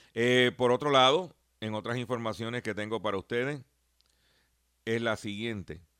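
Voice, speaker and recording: This man's voice sits at a medium pitch and has a bright, sharp tone, ordinary pitch variation and a moderate pace with long, frequent pauses. The recording is very clean, with a silent background. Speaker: radio host and consumer advocate. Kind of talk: radio talk show monologue.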